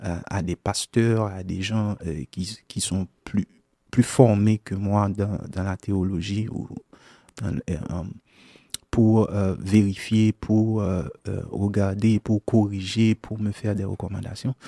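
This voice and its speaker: A man speaks very slowly in a fairly low, dark and mellow voice with a Haitian accent, his intonation fairly even and the sound dry and close with no echo. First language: Haitian Creole (speaking French). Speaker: gospel songwriter and singer. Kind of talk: radio interview. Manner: halting, many hesitations.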